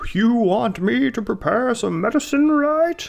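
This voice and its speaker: Over light background noise, a put-on character voice at a fairly high pitch moves at a moderate pace. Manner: helpful, offering.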